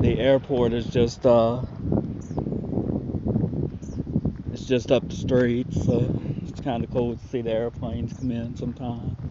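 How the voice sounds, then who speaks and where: A man speaks at a fairly slow pace with long, frequent pauses, in a dry sound with no echo over loud background noise. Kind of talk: casual vlog chat. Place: street. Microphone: phone near.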